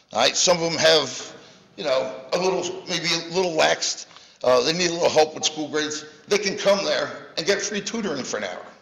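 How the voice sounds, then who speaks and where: A man with a high-pitched voice speaks at a moderate pace, leaving long, frequent pauses, with audible room echo. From US Northeast. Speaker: youth football program founder; youth sports volunteer addressing council. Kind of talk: public comment. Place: hall. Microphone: podium.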